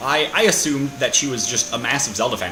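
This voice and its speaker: Someone speaks with an American accent. The recording has audible room echo and noticeable background noise. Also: man. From Minnesota, US Midwest. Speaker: gaming video creator. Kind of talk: let's play commentary. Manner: fast.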